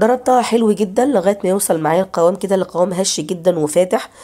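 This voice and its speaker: A woman's voice has a dark, mellow tone, captured in a very clean recording with a silent background. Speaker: cooking channel host. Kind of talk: cooking tutorial.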